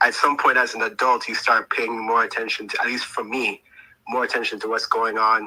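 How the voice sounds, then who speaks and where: His pace runs fairly quick. The man speaks with an American accent. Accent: non-Jamaican sounding, Americanized. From Jamaica, moved to US at age ten. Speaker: caller. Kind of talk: call-in conversation. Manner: animated.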